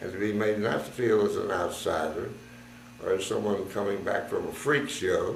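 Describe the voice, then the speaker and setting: A man with an American accent is heard with audible room echo and noticeable background noise. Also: moderate pace. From United States. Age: 80s+. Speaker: war veteran. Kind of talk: testimony.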